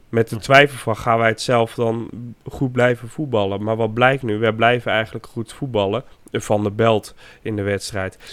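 The voice moves at a moderate pace with monotone, flat intonation on a very clean recording with a silent background. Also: man, medium pitch for a man. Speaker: football podcast co-host. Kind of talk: casual chat. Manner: halting, repeats words.

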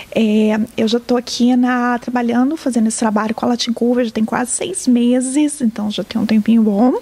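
A woman at a high pitch with fairly even intonation, a moderate pace and hardly any pauses, over noticeable background noise. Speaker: community organization staff. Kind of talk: interview.

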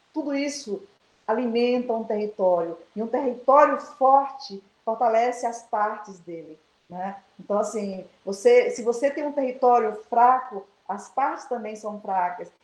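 With music in the background, a woman talks at a fairly slow pace, her fairly high voice showing ordinary pitch variation and big swings in loudness. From Baixada Maranhense, Maranhão, Brazil. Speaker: education professor. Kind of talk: interview. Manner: hesitant, many fillers.

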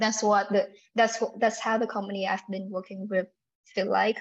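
Fairly even intonation marks this woman's medium-pitched speech. She has a Vietnamese accent. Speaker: UX designer. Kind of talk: interview. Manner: halting, many fillers.

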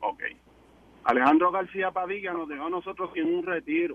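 There is a man with a high pitch, speaking at a moderate pace with fairly even intonation. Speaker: police officer, caller. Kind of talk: call-in radio talk.

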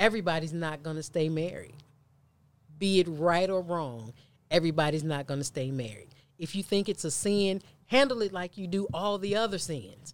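This is a plain, everyday voice. It moves at a moderate pace with lively intonation. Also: woman, fairly low pitch for a woman. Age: 40s. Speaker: preacher and author. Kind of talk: casual chat.

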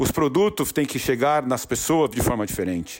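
A man talks at a fairly quick pace with a fairly high pitch and an animated tone. Vocal fry runs through his voice. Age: 40s. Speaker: entrepreneur and podcast host. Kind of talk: motivational monologue. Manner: repetitive, halting.

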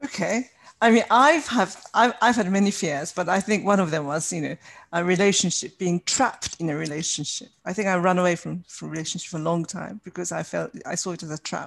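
With ordinary pitch variation, a woman talks rather quickly. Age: 60s. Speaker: podcast host. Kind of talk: casual interview.

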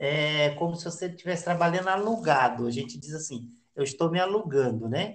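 A man talks at a fairly quick pace in a somewhat breathy voice, with audible room echo. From Brasília. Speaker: experienced backpacker, podcast host. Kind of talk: casual interview.

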